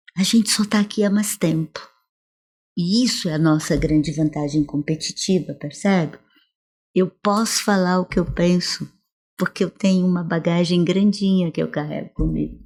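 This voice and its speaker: On a very clean recording with a silent background, a woman with a fairly low, somewhat breathy voice speaks at a moderate pace and very even loudness, pausing long and often. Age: 70s. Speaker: professor. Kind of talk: interview. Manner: animated.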